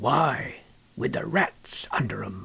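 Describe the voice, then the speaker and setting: This is a put-on character voice. It comes out raspy. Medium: read story. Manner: rustic, storytelling.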